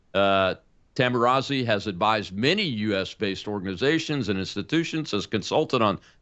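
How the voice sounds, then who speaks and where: A man of medium pitch with an unremarkable speaking voice uses lively intonation. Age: 60s. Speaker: talk show host, retired air force colonel. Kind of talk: scripted monologue; interview.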